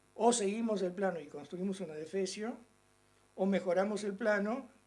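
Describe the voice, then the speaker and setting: A man talks at a moderate pace in a high pitch with a dark, mellow tone and ordinary pitch variation. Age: 60s. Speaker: political analyst and lecturer. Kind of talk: lecture. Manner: informal, conversational.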